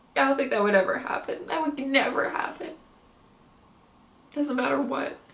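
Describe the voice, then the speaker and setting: With audible room echo and noticeable background noise, a woman speaks at a high pitch and a moderate pace with ordinary pitch variation. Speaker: TV show reactor. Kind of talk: reaction commentary. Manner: halting.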